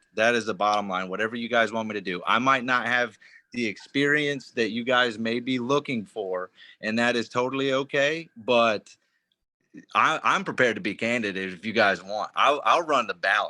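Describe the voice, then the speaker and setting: A man with an American accent, a medium pitch, a bright, sharp tone, ordinary pitch variation and a moderate pace, on a very clean recording with a silent background. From North Carolina, Charlotte. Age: 30s. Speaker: new party volunteer. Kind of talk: casual self-introduction on group call.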